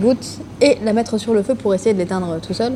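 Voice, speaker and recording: Woman's fairly high-pitched voice with ordinary pitch variation amid noticeable background noise. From northern France, Lille. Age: 20s. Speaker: eco-association co-founder, traveler. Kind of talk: podcast interview.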